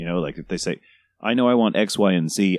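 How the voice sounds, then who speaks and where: In an American accent, the speaker goes at a very fast pace with ordinary pitch variation. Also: man. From New York City. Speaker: cake sculptor on a reality TV show. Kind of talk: casual chat.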